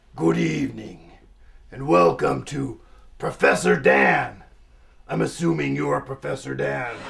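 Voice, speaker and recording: A man speaks in a raspy put-on character voice with a very deep, low pitch and very wide pitch swings. He talks fairly slowly, with long, frequent pauses. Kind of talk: TV host patter. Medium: comedy sketch. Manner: smarmy, sarcastic.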